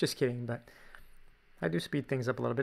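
A man speaks at a medium pitch with a Canadian accent and a bright, sharp tone. The recording is very clean, with a silent background. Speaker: drawing teacher. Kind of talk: tutorial. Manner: casual.

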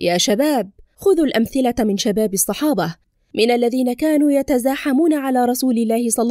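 A woman's high voice with ordinary pitch variation at a moderate pace, very cleanly recorded against a silent background, dry and close with no echo. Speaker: voice-over narrator. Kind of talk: audiobook reading of religious essay.

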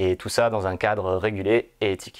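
Against a quiet background, a man talks at a very slow pace with fairly even intonation. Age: 30s. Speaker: pre-sales engineer. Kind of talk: corporate recruitment testimonial. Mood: calm, positive. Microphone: lapel.

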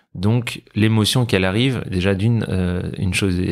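Recorded very cleanly against a silent background, a man with a plain, everyday voice speaks at a fairly low pitch with fairly even intonation. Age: 30s. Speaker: para-badminton athlete. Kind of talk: interview.

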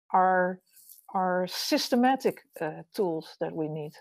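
A woman with a Dutch accent speaks in a dark, mellow tone. The sound is dry with no echo, over a quiet background. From Netherlands. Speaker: architect and urban designer; architect giving a lecture. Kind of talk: lecture. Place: home room.

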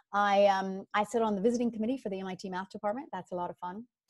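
A very fast-talking woman with an American accent, medium pitch and ordinary pitch variation against a quiet background. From US South, rural Louisiana. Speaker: finance executive and board member; guest. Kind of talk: motivational talk. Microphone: video call.

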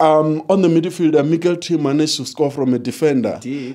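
A man's fairly high voice with a dark, mellow tone, at a fairly quick pace over a quiet background. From South Africa. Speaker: football fan pundit. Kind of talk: casual football match analysis. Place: studio. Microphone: handheld.

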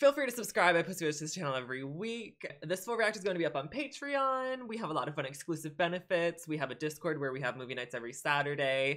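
A man talks at a very fast pace with hardly any pauses. His pitch swings very widely. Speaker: reaction video creator. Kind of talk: casual vlog chat. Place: home room. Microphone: earbuds.

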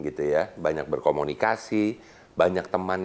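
A man's very deep, low voice moves along at a moderate pace. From Bandung, West Java. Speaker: business leader and chamber of commerce official. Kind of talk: casual interview chat. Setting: studio. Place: studio.

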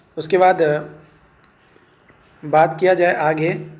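In a room with audible echo, a man talks at a slow pace with a fairly high pitch, little pitch movement, and a slightly mellow tone.

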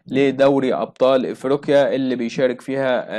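Speaking with an Egyptian accent at a moderate pace, a man is heard against a quiet background. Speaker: sports news presenter; news presenter. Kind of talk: news reading. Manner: hesitant fillers. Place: home room. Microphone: phone near.

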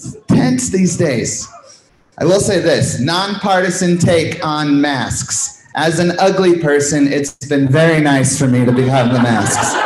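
Noticeable background noise and audible room echo surround the voice. A man speaks fairly slowly at a fairly high pitch. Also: ordinary pitch variation. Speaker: stand-up comedian. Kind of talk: stand-up. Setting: stage with audience. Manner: animated.

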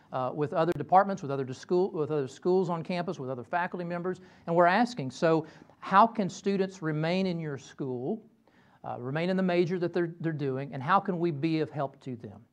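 A man with a Southern US accent, high in pitch, at a fairly quick pace with ordinary pitch variation. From Kentucky. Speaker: professor. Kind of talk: lecture. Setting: stage with audience. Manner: halting. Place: classroom. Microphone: lapel.

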